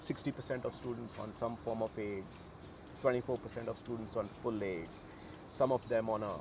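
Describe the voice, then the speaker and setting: With a Bihar accent, a man speaks at a moderate pace in a dark, mellow, somewhat breathy tone. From Bihar, India. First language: Bhojpuri. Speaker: university co-founder. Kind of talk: interview. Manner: animated.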